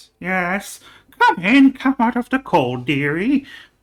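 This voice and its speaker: A put-on character voice, fairly high in pitch, at a fairly slow pace with very wide pitch swings. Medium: actual play. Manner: doting, calls others dearie.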